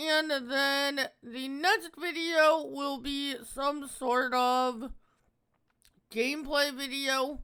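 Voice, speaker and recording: A man speaks very slowly in a raised, projected voice of extremely high pitch. His tone is bright and sharp, with fairly even intonation. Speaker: gaming video creator. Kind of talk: game review.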